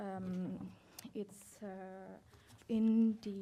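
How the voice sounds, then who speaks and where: A woman with a non-native accent speaks in a dark, mellow, somewhat breathy tone with monotone, flat intonation. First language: not English. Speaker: law student competitor. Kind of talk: moot court argument. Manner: halting, many fillers.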